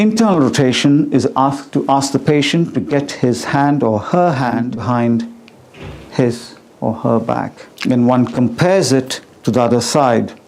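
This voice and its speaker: Over noticeable background noise, a man of medium pitch speaks at a fairly slow pace with very even loudness and ordinary pitch variation. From India. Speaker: doctor. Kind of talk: medical teaching demonstration.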